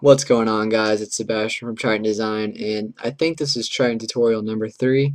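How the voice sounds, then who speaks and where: A man talks fairly quickly in an ordinary speaking voice, with hardly any pauses. His pitch is medium and his intonation fairly even. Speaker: graphic design tutorial maker. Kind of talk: software tutorial. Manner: casual with fillers.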